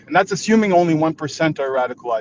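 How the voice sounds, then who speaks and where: Amid noticeable background noise, a man with a fairly high pitch talks at a very fast pace with lively intonation. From Israel. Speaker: debate panelist. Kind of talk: live debate discussion. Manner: halting, many repetitions.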